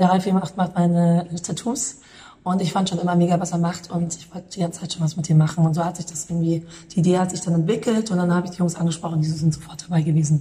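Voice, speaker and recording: A woman speaks very fast at a fairly low pitch, flat and monotone. Her loudness swings widely. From Munich, Bavaria. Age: 30s. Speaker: calligrapher and artist. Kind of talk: interview.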